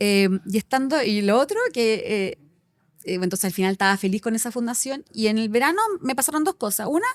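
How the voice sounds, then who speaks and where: Recorded with a dry, close sound and no echo, a woman with a Chilean accent talks at a fairly quick pace, her fairly high pitch showing ordinary variation. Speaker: company director. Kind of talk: casual interview chat. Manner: fast; animated.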